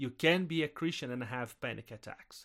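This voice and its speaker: The recording is very clean with a silent background, and the speech shows ordinary pitch variation. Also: man. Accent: Brazilian. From southern Brazil. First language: Portuguese. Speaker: missionary pastor and podcast co-host. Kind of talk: personal testimony in a casual chat.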